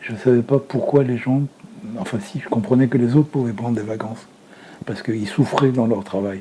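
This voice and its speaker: A man speaks at a fairly quick pace and medium pitch with ordinary pitch variation, over noticeable background noise. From Lebanon (Beirut). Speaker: retired filmmaker. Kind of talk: interview.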